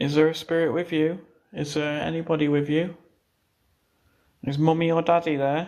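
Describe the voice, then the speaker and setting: Speaking at a moderate pace with an English accent, a man uses a fairly high, monotone voice with flat intonation and long, frequent pauses. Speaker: paranormal investigator streamer. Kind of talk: live stream ghost hunt. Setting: outdoors, abandoned house at night. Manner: hushed, quiet.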